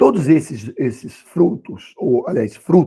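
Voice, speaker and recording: A man with a dark, mellow tone and vocal fry speaks at a very slow pace, his intonation lively. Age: 60s. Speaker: Bible school teacher. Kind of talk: Bible class lesson. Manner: halting, many fillers.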